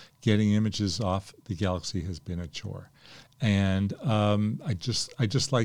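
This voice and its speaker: A man speaks in a plain, everyday voice at a fairly low pitch. His pitch variation is ordinary. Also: very clean recording, silent background. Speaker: podcast host. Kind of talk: podcast intro and commentary.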